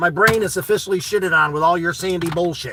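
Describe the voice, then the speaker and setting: A loud, animated man's voice, high-pitched with ordinary pitch variation, at a fairly quick pace over noticeable background noise. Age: 40s. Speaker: live streamer reading chat. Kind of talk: casual live stream chat.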